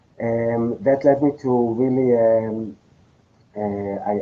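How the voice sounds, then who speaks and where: A man talks at medium pitch. His intonation stays monotone and flat. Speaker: podcast guest sharing life story. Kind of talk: interview testimony. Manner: halting, many fillers and repetitions.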